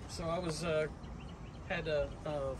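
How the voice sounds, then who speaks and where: Man speaking, noticeable background noise behind him. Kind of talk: casual storytelling. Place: street. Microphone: phone near.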